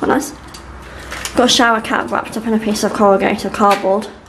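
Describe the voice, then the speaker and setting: Over noticeable background noise and audible room echo, a woman with a fairly high voice speaks at a fairly quick pace with fairly even intonation. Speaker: travel vlogger. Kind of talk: vlog narration.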